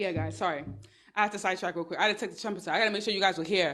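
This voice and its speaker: A woman with a New York accent talks at a medium pitch. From New York, Brooklyn. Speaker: online business and dating advice streamer. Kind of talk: livestream talk. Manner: fast.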